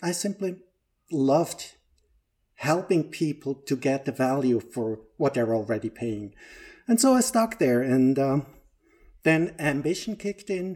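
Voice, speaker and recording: A man's fairly high voice in a Swiss German accent, dark and mellow in tone, with lively intonation, a fairly slow pace and long, frequent pauses, in a very clean recording with a silent background. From Switzerland, Lake Zurich. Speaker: operations manager and organizational trainer. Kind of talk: casual interview.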